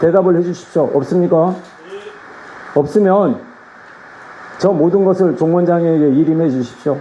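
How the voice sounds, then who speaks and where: Speaking at a moderate pace with long, frequent pauses, a man with a high pitch keeps his loudness very even and his intonation fairly even over noticeable background noise. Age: 60s. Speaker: Buddhist monk, head of regional temple office. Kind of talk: address at a meeting of monks. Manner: halting, with false starts.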